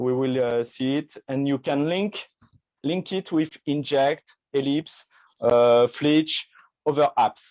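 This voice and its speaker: A man with a French accent speaks very slowly at a fairly high pitch with fairly even intonation. The sound is dry and close with no echo, over a quiet background. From France. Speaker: magician. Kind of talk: product demo in live video chat. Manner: halting, many fillers.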